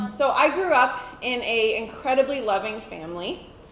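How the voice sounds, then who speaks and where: The speaker has an American accent and ordinary pitch variation. Noticeable background noise and audible room echo fill the recording. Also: woman. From United States. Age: 30s. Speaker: church member giving testimony. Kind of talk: testimony.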